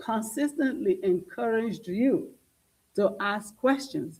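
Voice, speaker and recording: Speaking slowly-ish with a non-native accent, a woman uses a fairly high, somewhat breathy, dark and mellow voice with very wide pitch swings. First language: not English. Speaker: school board trustee. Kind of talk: public meeting debate. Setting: board meeting on a dais. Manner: animated.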